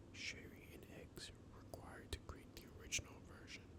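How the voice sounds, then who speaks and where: Someone whispers over noticeable background noise. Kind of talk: ASMR soft spoken facts narration. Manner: soft-spoken, casual, conversational.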